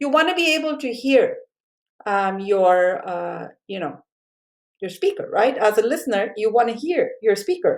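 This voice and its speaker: Speaking at a moderate pace with a South Asian accent, a woman uses a fairly high pitch, very wide pitch swings and long, frequent pauses. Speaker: college communication instructor. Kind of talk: recorded lecture. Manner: casual, many fillers.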